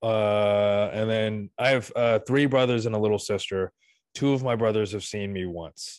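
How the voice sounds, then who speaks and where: This man has a plain, everyday voice, fairly low in pitch, with fairly even intonation and a moderate pace. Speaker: comedian guest. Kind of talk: casual comedy interview.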